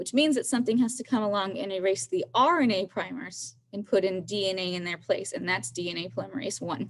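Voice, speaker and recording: At a fairly quick pace and with hardly any pauses, a woman speaks at a medium pitch with vocal fry and very wide pitch swings. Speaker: biology teacher. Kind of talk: lecture.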